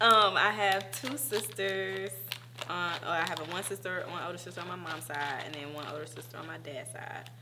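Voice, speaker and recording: A woman with a Southern US accent speaks at a moderate pace with a very deep, low pitch, very wide pitch swings, and big swings in loudness. Noticeable background noise and audible room echo fill the recording. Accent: Southern country. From US South, Macon, Georgia. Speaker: actress and dancer. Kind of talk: casual interview chat. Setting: studio.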